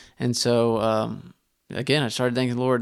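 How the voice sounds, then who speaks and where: A man with a Texan accent speaks at a medium pitch and moderate pace. His intonation is flat and monotone, in a very clean recording with a silent background. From Northeast Texas, Terrell. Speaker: bowhunter. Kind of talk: casual interview. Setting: studio.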